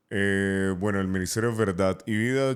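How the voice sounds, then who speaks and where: A man with a very deep, low pitch and fairly even intonation. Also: very clean recording, silent background. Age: 30s. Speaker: radio announcer and youth pastor. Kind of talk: interview answer.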